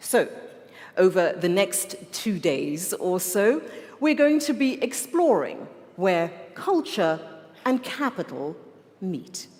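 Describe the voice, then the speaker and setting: A woman of medium pitch speaks very slowly with long, frequent pauses and very wide pitch swings. Noticeable background noise can be heard. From South Africa. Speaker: conference moderator. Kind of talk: formal event hosting. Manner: animated.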